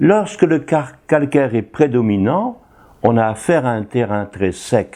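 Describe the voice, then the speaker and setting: A man speaks with a dark, mellow tone and very wide pitch swings. Behind him the background stays quiet. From northern France, Tourcoing area. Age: 80s+. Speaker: retired priest. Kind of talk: interview talk.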